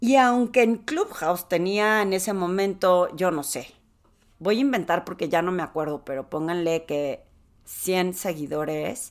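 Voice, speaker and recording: In an animated tone with lively intonation, a woman speaks at a fairly slow pace. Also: medium pitch for a woman. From Torreón, Mexico (La Laguna region). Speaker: executive presence coach. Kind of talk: solo podcast monologue.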